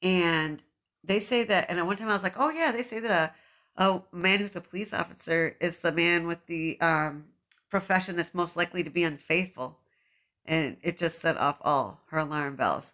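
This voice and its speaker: A woman with a bright, sharp tone speaks at a moderate pace with ordinary pitch variation. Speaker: podcast host. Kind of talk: casual chat; reading aloud.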